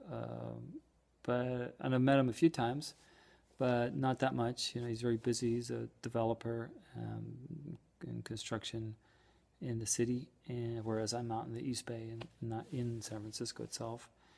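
A somewhat breathy voice with an American accent at a moderate pace. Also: man, fairly even intonation. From Ireland. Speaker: emigrant small business owner. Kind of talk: personal video message. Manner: halting. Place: home room. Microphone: phone near.

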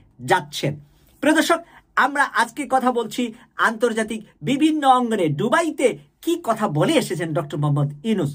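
A man's animated tone with very wide pitch swings, in a very clean recording with a silent background. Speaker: political commentary YouTuber. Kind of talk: political commentary monologue.

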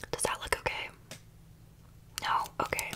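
A woman's words compete with heavy noise in the background. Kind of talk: ASMR roleplay chat. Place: home room. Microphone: phone near.

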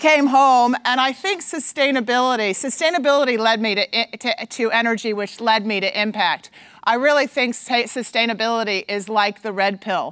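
Hardly any pauses break this woman's moderate pace. She has ordinary pitch variation, against a quiet background. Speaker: conference speaker. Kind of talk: conference talk. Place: stage. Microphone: lapel.

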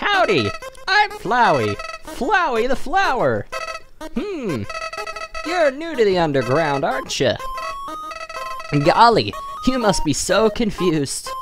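Over clear background music, a man uses a put-on character voice at an extremely high pitch, speaking at a fairly slow pace with long, frequent pauses. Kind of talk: folksy. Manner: cheery, friendly.

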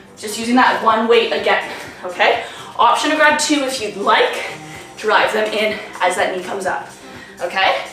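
A woman talks at a moderate pace. Clear music plays behind her, and there is audible room echo. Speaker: fitness instructor. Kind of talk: workout instruction. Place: home room. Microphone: camera far.

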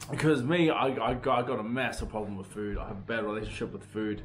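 There is light background noise behind this man's voice. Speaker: vlogger. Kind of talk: casual vlog chat. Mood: relaxed, laughing. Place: home room. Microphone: phone near.

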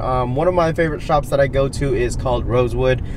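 A man at a fairly quick pace with fairly even intonation, dry with no echo, against noticeable background noise. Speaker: sneaker vlogger. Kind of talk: casual vlog chat. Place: car. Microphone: camera far.

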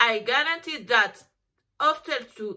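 Against a quiet background, a woman speaks at a very slow pace in a bright, sharp tone. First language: Spanish. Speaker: lawyer; lawyer promoting her services. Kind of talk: promotional talk to camera. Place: home room. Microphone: webcam.

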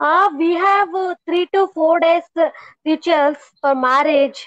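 In an Indian accent, a woman speaks fairly slowly with an extremely high pitch, her voice dry with no echo against a quiet background. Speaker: homemaker, English learner. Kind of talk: casual chat. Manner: halting. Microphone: earbuds.

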